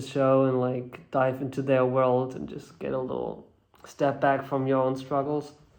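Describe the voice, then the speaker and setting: Fairly slow delivery with audible room echo. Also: man. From Germany. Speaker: actor. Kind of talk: interview. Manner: halting.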